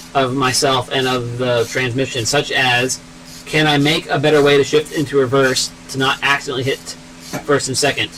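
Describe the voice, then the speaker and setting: A man's fairly high voice with ordinary pitch variation, over noticeable background noise. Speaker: car mechanic YouTuber, engineer. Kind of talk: live stream tech talk in garage. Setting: garage. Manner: fast.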